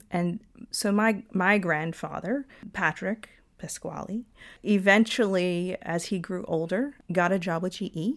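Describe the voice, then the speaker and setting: In a normal speaking voice, a woman with an American accent talks at a fairly slow pace and medium pitch. Her pitch variation is ordinary, and the recording is very clean with a silent background. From US South, Georgia (Lawrenceville). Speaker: engineer. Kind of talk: interview conversation.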